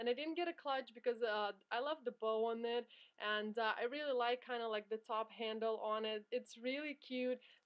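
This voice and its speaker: In an ordinary speaking voice, a woman talks at a moderate pace with a fairly high pitch, fairly even intonation and very even loudness. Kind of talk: product showcase vlog.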